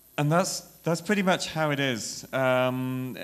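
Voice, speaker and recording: With audible room echo, a man speaks in a medium-pitched voice at a moderate pace. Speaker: conference speaker, software engineer. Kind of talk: tech conference talk. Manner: halting, many fillers.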